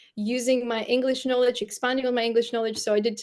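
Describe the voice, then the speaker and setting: Monotone, flat intonation in a Bulgarian accent against a quiet background. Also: woman. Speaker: storyteller and brand coach. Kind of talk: interview conversation.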